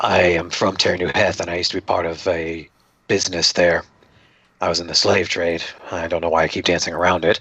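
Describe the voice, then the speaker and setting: In a put-on character voice, a man speaks raspy and monotone, flat at a very deep, low pitch and a fairly quick pace. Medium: actual play. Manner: polite, formal, inquisitive.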